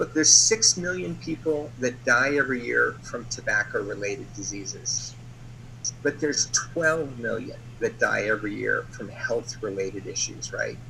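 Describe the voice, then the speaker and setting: Noticeable background noise sits behind a man who has an American accent. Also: moderate pace. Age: 60s. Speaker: company executive. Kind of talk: sales pitch.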